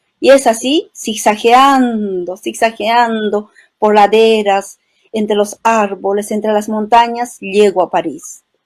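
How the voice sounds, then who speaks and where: In an Andean accent, a woman speaks at a very slow pace with a fairly high pitch and fairly even intonation, on a very clean recording with a silent background. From Peru, Cusco highlands (Chisicata, Espinar). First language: Quechua (speaking Spanish). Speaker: poet and writer. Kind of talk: interview. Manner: poetic, lyrical.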